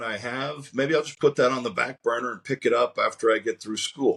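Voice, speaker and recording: A man's plain, everyday voice, fairly high in pitch, with an American accent, at a moderate pace over a quiet background. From US South, Georgia. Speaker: strongman athlete. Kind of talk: interview. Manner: relaxed storytelling, with frequent fillers.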